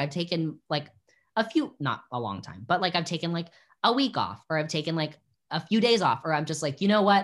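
With a bright, sharp tone and lively intonation, a man speaks high and fairly quickly on a very clean recording with a silent background. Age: 20s. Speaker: drag queen. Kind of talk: casual interview chat.

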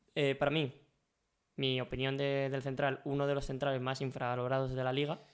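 A man's flat, monotone delivery at a fairly quick pace. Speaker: sports podcast co-host. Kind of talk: casual football chat.

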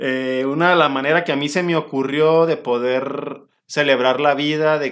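With a Mexican accent, this man talks at a fairly high pitch. His intonation is fairly even and his pace fairly slow. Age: 30s. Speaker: orthopedic doctor and podcast host. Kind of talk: casual podcast chat.

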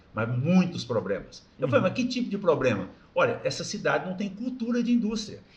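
Delivered at a fairly quick pace with very wide pitch swings, the voice comes through audible room echo and noticeable background noise. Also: man, high pitch for a man. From Brazil, interior of Goiás. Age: 50s. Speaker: company founder and president. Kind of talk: casual interview, life story. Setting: studio.

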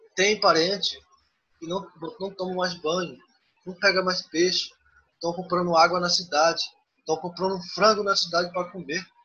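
With long, frequent pauses, a man talks in a high-pitched, monotone voice with flat intonation. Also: moderate pace. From Xingu region, Pará, Brazil. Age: 20s. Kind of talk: interview. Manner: halting.

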